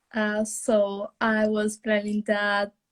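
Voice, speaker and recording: Very slow speech with an Italian accent, dry and close with no echo. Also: woman. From Italy. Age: young. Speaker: au pair. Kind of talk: live interview. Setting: Instagram live video call. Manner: halting.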